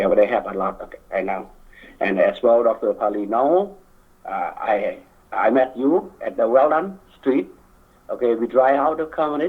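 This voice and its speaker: In a Lao accent, a man speaks at a moderate pace with long, frequent pauses. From Laos. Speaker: community member speaking at political event. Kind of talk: public speech. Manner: halting.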